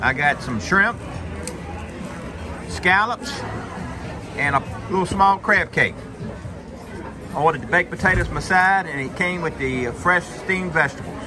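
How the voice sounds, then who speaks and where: Moderate pace and ordinary pitch variation, with music in the background. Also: man. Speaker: diner reviewing food. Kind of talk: casual vlog chat. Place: cafe.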